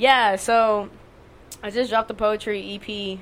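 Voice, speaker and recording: A woman with an American accent, medium pitch and monotone, flat intonation. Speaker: poet. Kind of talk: casual chat. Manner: casual, profane.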